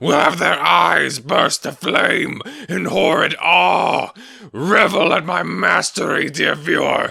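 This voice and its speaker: A man does a put-on character voice while clear music plays in the background. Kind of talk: comedic parody dub.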